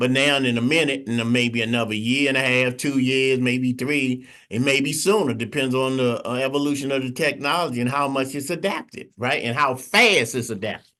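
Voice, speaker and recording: A man's medium-pitched, bright, sharp voice with fairly even intonation, a fairly quick pace and hardly any pauses, against a quiet background. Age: 60s. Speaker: AI instructor. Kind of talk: teaching session.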